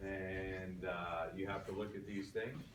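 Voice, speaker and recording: Audible room echo surrounds a man whose very deep, low voice keeps a fairly even intonation. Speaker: college anatomy and physiology instructor. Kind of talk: classroom lecture. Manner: casual, frequent fillers.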